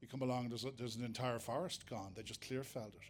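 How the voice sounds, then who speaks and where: There is audible room echo around a man speaking with an Irish accent. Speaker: foraging teacher. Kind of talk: lecture. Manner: fast; halting, many fillers and repeats.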